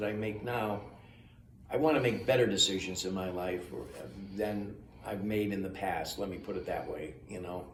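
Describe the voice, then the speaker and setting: There is audible room echo around this man's voice. He speaks at a moderate pace. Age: 80s+. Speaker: recovering alcoholic, AA member. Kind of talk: casual interview chat. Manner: halting, with fillers and repeats.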